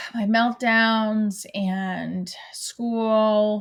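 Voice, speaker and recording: Her pitch is fairly high and her intonation is monotone and flat. The woman's voice is also somewhat breathy. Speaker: actor and stand-up comedian. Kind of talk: guided visualization exercise, speaking as her daughter.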